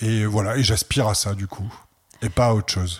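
The speaker is a man. His pace is fairly slow. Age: 60s. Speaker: art centre director. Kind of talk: interview.

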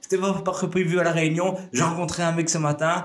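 A man talks at a high pitch. Audible room echo and noticeable background noise surround his voice. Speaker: entrepreneur. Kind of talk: casual chat. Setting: office studio. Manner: energetic, fast.

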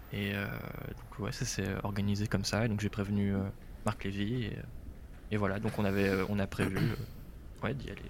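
The speaker talks at a fairly slow pace, with fairly even intonation and vocal fry. Long, frequent pauses and audible room echo mark the recording. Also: man, fairly low pitch for a man. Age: 20s. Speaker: radio journalist. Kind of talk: casual interview, travel story.

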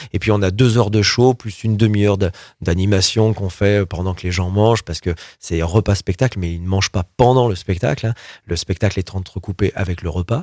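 Fairly low in pitch, a man talks at a fairly quick pace with fairly even intonation in an ordinary speaking voice. The recording is very clean, with a silent background and a dry, close sound with no echo. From France, Loire (Roanne area). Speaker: pop rock singer and cabaret owner. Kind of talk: interview.

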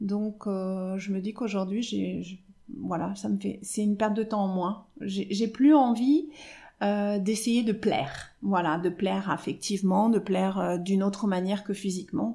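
A woman's somewhat breathy voice, dark and mellow in tone, medium in pitch, with ordinary pitch variation and a fairly slow pace. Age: 50s. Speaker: hairdresser. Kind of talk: testimony. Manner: halting.

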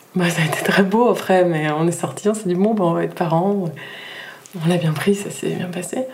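A woman talks at a moderate pace with a fairly low pitch. Audible room echo and noticeable background noise surround her voice. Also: ordinary pitch variation. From southern France (Nîmes). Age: 30s. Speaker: physiotherapist and mother. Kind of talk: personal testimony in interview.

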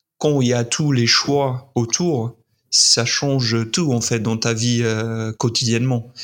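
Speaking at a very slow pace, a man holds a medium pitch, fairly even intonation and very even loudness. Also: very clean recording, silent background. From US, Utah. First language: English (speaking French). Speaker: content creator. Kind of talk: interview.

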